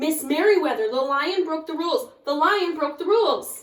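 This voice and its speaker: This is a put-on character voice. It is raised and projected. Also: woman, extremely high pitch for a woman, moderate pace. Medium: read story.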